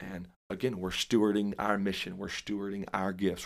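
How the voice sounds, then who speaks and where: In a plain, everyday voice, a man with an American accent speaks at a moderate pace in a very clean recording with a silent background. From Dallas, Texas. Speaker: evangelist preacher. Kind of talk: casual interview about ministry, preachy at times.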